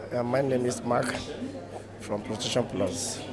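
A man speaks over loud background noise. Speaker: guest. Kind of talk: interview answer. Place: hall. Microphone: handheld.

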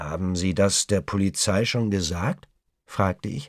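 The man's recording is very clean with a silent background and a dry, close sound with no echo. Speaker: audiobook narrator. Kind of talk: audiobook reading, dramatic narration with character dialogue. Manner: gripping, suspenseful, tense, with varied pacing and voices for characters.

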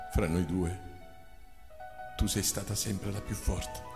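Music plays in the background as a man speaks fairly slowly with ordinary pitch variation. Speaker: narrator. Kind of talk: poetry reading. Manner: emotional, tearful.

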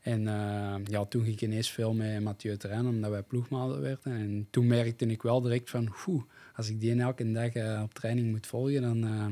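A man with a dark, mellow tone talks at a moderate pace, with fairly even intonation and hardly any pauses. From Belgium, Essen (Antwerp Kempen); Belgium. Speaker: cyclocross rider; podcast guest. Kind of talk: casual chat. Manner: halting, many repetitions and fillers. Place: studio. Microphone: studio mic.

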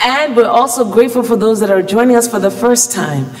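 At a fairly quick pace, a woman is talking. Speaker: pastor. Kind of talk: opening prayer and welcome. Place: church. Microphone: podium.

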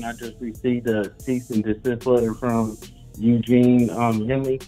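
A man at a fairly slow pace with fairly even intonation, faint music in the background. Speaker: caller. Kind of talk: phone call conversation.

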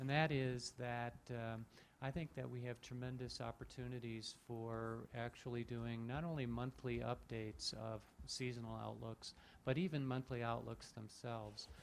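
A man talks at a moderate pace with fairly even intonation. Light background noise sits behind him. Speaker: audience questioner, climate scientist; questioner. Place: hall.

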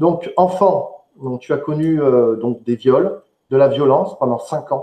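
Against a quiet background with audible room echo, a man speaks at a very slow pace. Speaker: online show host. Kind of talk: live interview. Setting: live online stream. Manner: hesitant, filler words. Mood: serious, empathetic. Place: home room.

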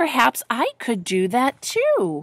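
A woman uses a put-on character voice, fairly high-pitched and slow with very wide pitch swings, in a dry, close sound with no echo.

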